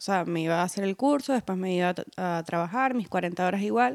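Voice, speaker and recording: A woman talks with ordinary pitch variation in a very clean recording with a silent background. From Venezuela. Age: 30s. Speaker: tattoo artist. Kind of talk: interview. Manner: halting, many repetitions and fillers.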